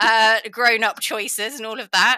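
On a very clean recording with a silent background, a woman speaks at a medium pitch with an English accent. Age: 30s. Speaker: equestrian commentator and presenter. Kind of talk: casual interview chat.

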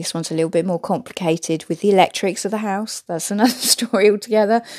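At a fast pace, a woman speaks in a medium pitch with ordinary pitch variation and a slightly mellow tone.

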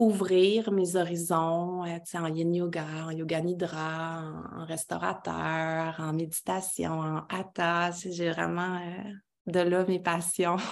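Speaking at a very slow pace, a woman uses a fairly low pitch. Her intonation is monotone and flat. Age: 30s. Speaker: women's circle facilitator. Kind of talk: casual interview.

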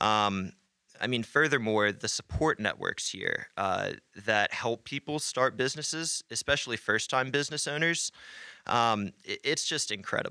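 Recorded very clean against a silent background, with a dry, close sound and no echo, a man speaks in a normal speaking voice at medium pitch, a moderate pace and ordinary pitch variation. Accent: American. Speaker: business founder. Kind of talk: casual interview chat.

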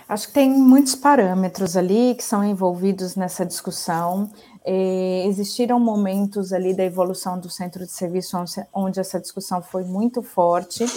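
A woman speaks at a moderate pace, with a medium pitch. It is a normal speaking voice, with ordinary pitch variation. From Brazil, Ribeirão Preto (São Paulo state). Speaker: shared services center executive. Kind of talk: interview.

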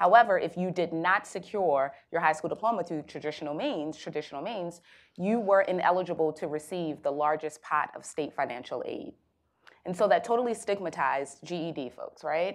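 A woman with an American accent talks at a fairly quick pace in an unremarkable speaking voice, pitched fairly low with ordinary pitch variation, over a quiet background. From Baltimore, Maryland, US. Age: young. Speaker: nonprofit executive director. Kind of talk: panel discussion.

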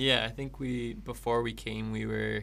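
A Canadian accent at a moderate pace, with audible room echo. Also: man. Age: 20s. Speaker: missionary and civil engineer. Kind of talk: casual interview.

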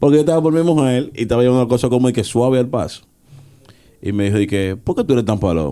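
At a very fast pace, a man with a medium pitch and a dark, mellow tone speaks with very wide pitch swings. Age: 30s. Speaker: podcast co-host. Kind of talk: casual chat.

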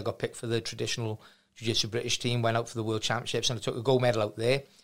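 A man with a South Wales accent speaks at medium pitch in a monotone, flat intonation. His tone is bright and sharp, and the recording is very clean with a silent background. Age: 40s. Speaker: martial arts gym owner. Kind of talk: casual chat.

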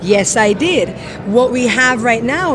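A woman's fairly high voice moves at a moderate speed against noticeable background noise. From London, England. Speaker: diving instructor. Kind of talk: interview. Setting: trade show floor.

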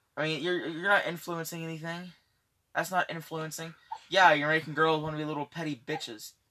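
Against a quiet background, a man with a fairly high pitch and a bright, sharp tone talks at a fairly quick pace, broken by long, frequent pauses. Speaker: amateur podcast co-host. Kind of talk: casual chat. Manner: puts on a fake British accent.

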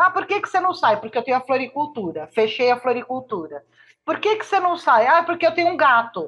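Her bright, sharp voice sits high for a woman, with very wide pitch swings and a fairly quick pace. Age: 60s. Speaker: therapist and behavioral researcher. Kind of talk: casual chat.

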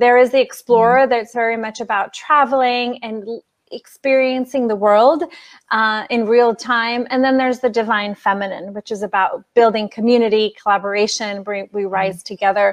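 A woman with a plain, everyday voice, fairly high in pitch, fairly even in intonation, at a moderate pace. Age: 40s. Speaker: business coach. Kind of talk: interview.

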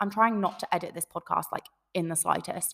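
In a very clean recording with a silent background, a woman with an English accent speaks at a fairly quick pace in an animated tone, her medium pitch showing ordinary variation. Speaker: podcast host. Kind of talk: casual solo talk to listeners. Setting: home recording, echoey room.

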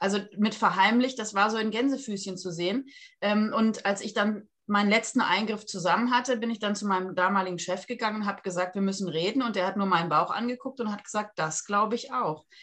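A woman with an ordinary speaking voice, medium pitch and ordinary pitch variation, at a fairly quick pace with hardly any pauses. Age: 40s. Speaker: surgeon. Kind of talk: interview.

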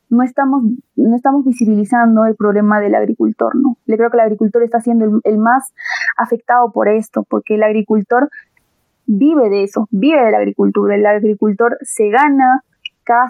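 An ordinary speaking voice moves at a moderate pace. The intonation stays fairly even. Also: woman. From Peru, Andahuaylas, Apurímac (Andean highlands). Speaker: agricultural engineering student. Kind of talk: podcast interview.

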